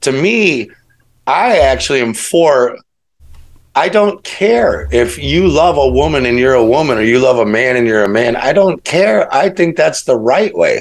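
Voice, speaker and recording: With an American accent, a man speaks at a medium pitch and fairly slow pace in an ordinary speaking voice. His intonation is lively and his loudness very even. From US Midwest, Chicago. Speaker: podcast guest, alternative researcher. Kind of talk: casual chat.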